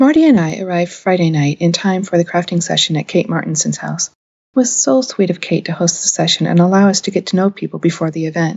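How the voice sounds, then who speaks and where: A woman speaks at a very fast pace with an American accent. Her fairly low pitch shows ordinary variation. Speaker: podcast host, crafter. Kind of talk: scripted podcast narration.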